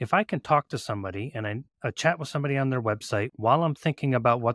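A man with a plain, everyday voice speaks fairly quickly, medium in pitch, with lively intonation. The very clean recording has a silent background and a dry, close sound with no echo. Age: 40s. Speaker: home inspector and software business owner. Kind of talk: casual interview chat.

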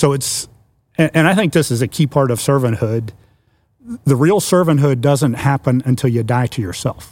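In a normal speaking voice with an American accent, a man talks at a moderate pace and medium pitch, with ordinary pitch variation, on a very clean recording with a silent background. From US Mid-Atlantic (Washington DC area). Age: 60s. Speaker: church network executive director, pastor. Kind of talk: casual chat.

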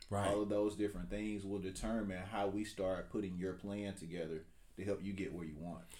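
A man with an Alabama accent talks at a fairly quick pace in a dark, mellow, fairly low voice with fairly even intonation, and room echo can be heard. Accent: Southern US (Alabama). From US South, rural south Alabama. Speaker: real estate agent. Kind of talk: casual interview.

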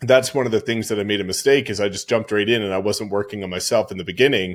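A man speaks at a very fast pace with fairly even intonation. The recording is very clean with a silent background. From small town. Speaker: real estate business coach. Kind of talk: interview.

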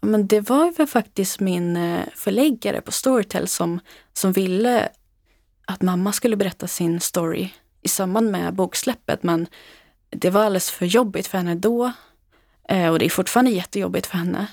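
A woman with an unremarkable speaking voice, medium in pitch with ordinary pitch variation, at a moderate pace, dry and close with no echo, on a very clean recording with a silent background. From Sweden, Uppland (Knutby). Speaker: author. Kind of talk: interview testimony. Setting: studio.

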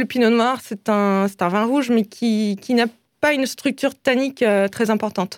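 On a very clean recording with a silent background and a dry, close sound with no echo, a woman with a normal speaking voice and fairly high pitch talks at a moderate pace with very even loudness. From Alsace, France. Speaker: wine sales manager. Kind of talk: radio interview.

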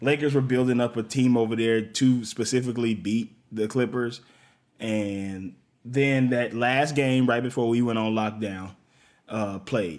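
A man has an ordinary speaking voice at a medium pitch with fairly even intonation. The recording is very clean, with a silent background. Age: 30s. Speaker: comedian. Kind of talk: casual chat.

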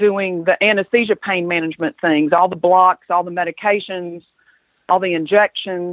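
A woman with an American accent uses a plain, everyday voice at a medium pitch, speaking at a moderate pace with fairly even intonation. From US South. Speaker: acupuncturist and physician. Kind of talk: interview conversation.

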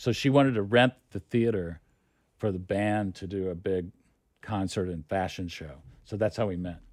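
A man with an American accent speaks at a moderate pace in a normal speaking voice. His pitch is fairly low, with ordinary pitch variation. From Oklahoma City. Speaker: film executive. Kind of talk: interview.

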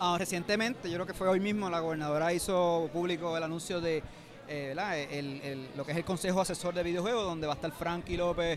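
A man speaks at a high pitch with fairly even intonation. Noticeable background noise runs behind him. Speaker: gaming journalist, interviewer. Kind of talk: interview. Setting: convention center event.

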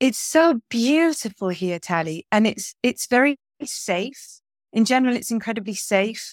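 A woman speaks fairly slowly at a fairly high pitch, with lively intonation. The sound is dry and close with no echo, in a very clean recording over a silent background. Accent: English. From England. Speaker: historian and Bitcoin advocate. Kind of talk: interview conversation.

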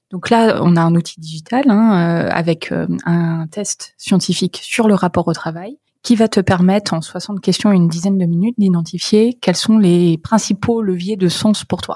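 A woman speaks at a medium pitch, somewhat breathy. The sound is dry and close, with no echo. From northern France, near Paris (Creil, Oise). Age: 30s. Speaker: startup founder and CEO. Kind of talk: interview.

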